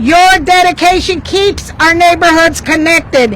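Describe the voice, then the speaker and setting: Over noticeable background noise, a woman with an extremely high pitch speaks loudly at a fairly slow pace, with ordinary pitch variation. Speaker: labor union representative. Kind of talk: rally speech. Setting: outdoor union rally with crowd, handheld mic.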